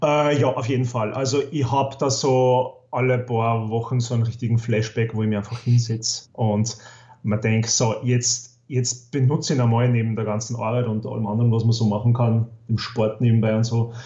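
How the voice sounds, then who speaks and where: In an Upper Austrian accent, a man speaks at a medium pitch and a moderate pace, somewhat breathy and with monotone, flat intonation. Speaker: podcast guest, gaming enthusiast. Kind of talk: casual chat.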